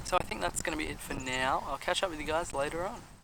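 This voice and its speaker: Very fast speech with ordinary pitch variation, over noticeable background noise. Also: man. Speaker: vlogger. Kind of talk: vlog monologue. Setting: outdoors in a park. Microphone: poor audio.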